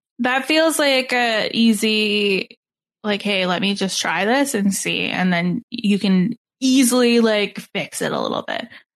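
At a fairly slow pace, a woman talks in a plain, everyday voice, pitched fairly high with ordinary pitch variation. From Canada. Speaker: podcast host. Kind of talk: casual chat.

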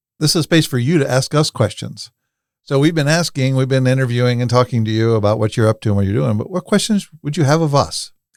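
This man has an unremarkable speaking voice at medium pitch, with lively intonation and a dry, close sound with no echo. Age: 50s. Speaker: podcast host and workshop founder. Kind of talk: podcast interview.

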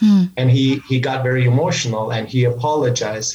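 Noticeable background noise sits behind a man speaking at a medium pitch with a Turkish accent. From Turkey. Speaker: leadership coach. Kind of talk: interview. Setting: video call.

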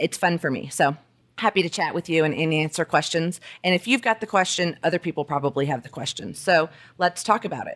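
In a plain, everyday voice, a woman with an American accent speaks at a fairly quick pace and a fairly low pitch, with ordinary pitch variation and a dry, close sound with no echo. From Alabama, US South. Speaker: lawyer, podcast host. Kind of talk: solo monologue. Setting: dining room at home.

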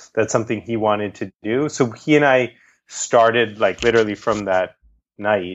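Here is a man with an ordinary speaking voice and fairly low pitch. He talks at a fairly quick pace with ordinary pitch variation. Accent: American. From Boston, Massachusetts. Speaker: documentary director. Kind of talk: interview conversation. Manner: casual with many fillers.

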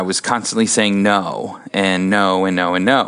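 A man speaks with an American accent at a fairly low pitch. There is noticeable background noise. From US Midwest, Columbus, Ohio. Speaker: orthodontist and practice owner. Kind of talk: interview.

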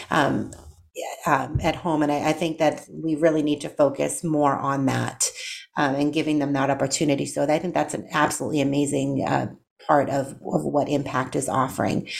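This woman's voice is very deep and low, carrying vocal fry and a monotone, flat intonation at a moderate pace. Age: 40s. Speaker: nurse and radio show host. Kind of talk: talk radio interview; scripted intro and outro.

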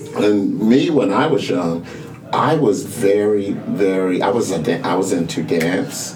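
Noticeable background noise sits under a man speaking at a fairly slow pace. His pitch is fairly low, with ordinary variation. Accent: American. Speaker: community center co-founder. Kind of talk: casual interview conversation. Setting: in person at the center.

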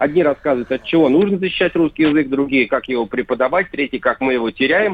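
The pace here is very fast. Pitch varies in an ordinary way. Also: man, fairly high pitch for a man. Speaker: Kremlin pool journalist. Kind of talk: casual chat. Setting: phone call.

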